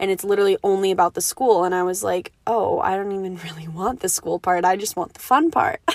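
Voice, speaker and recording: At a very fast pace with hardly any pauses, a woman of medium pitch talks in an animated tone with ordinary pitch variation, in a dry, close sound with no echo. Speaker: podcast host. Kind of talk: casual solo monologue. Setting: home recording. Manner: fast talker; rambling, animated.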